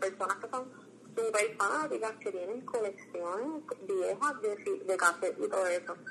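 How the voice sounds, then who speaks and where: Against noticeable background noise, a woman speaks at a fairly high pitch and a fairly slow pace. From Puerto Rico, Las Piedras. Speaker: graduate student and cultural archive founder. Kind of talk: casual interview.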